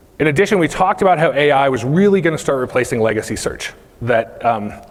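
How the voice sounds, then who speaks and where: Talking very fast with lively intonation and very even loudness, a man with an American accent and a fairly high pitch comes through noticeable background noise. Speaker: company CEO giving keynote. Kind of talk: conference keynote. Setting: stage with audience.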